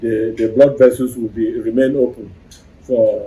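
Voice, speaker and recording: Fairly slow, monotone speech from a man at a medium pitch, his intonation flat. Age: 60s. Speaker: herbal medicine doctor and researcher. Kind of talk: interview. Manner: halting.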